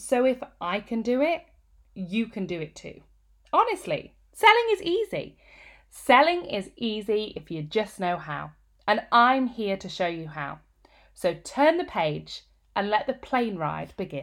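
Delivered at a fairly slow pace in a northern Midlands accent, the speech has an animated tone, very wide pitch swings and big swings in loudness. The recording is very clean, with a silent background. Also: woman, fairly high pitch for a woman. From England, Peak District. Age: 30s. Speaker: business coach and author. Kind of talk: reading aloud from own book.

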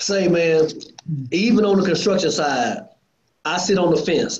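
A moderate pace in an American accent, with audible room echo. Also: man. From Lancaster, Texas, south of Dallas. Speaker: construction contractor, industry association board chair. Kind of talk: casual interview. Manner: animated.

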